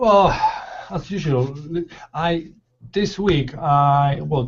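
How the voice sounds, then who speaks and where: A man's somewhat breathy voice at a very slow pace. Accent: non-native. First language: not English. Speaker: law of attraction panelist. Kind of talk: casual chat. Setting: video call. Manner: halting.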